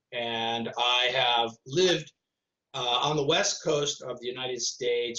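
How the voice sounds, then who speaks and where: A man with an American accent, an unremarkable speaking voice and medium pitch. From Detroit, Michigan, US Midwest. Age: 60s. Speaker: artist and activist. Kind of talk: conversation interview.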